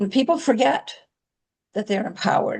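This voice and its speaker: Her voice is somewhat breathy. The woman's intonation is lively. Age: 70s. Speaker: author. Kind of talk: interview.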